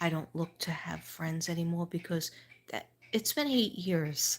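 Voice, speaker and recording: In a New York accent, a woman with a fairly low, somewhat breathy voice speaks at a moderate pace with ordinary pitch variation. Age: 60s. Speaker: livestreamer, school teacher. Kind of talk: casual livestream monologue.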